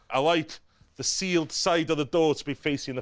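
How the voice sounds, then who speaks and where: The recording is very clean, with a silent background and a dry, close sound with no echo. The speaker has a Welsh accent. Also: man. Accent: Welsh, noticeable. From North Wales, Caernarfon. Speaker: chef. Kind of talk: cooking tutorial. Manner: animated.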